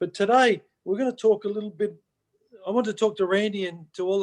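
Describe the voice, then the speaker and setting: A man with an Australian accent, fairly quick pace and ordinary pitch variation. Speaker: motivational speaker. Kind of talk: live-streamed motivational chat. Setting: video call, live on Facebook.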